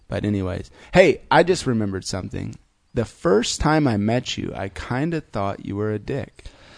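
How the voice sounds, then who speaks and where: Speaking in a Midwestern American accent, a man keeps a medium pitch and lively intonation at a moderate pace. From US Midwest (Fort Wayne, Indiana). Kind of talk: casual chat. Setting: studio.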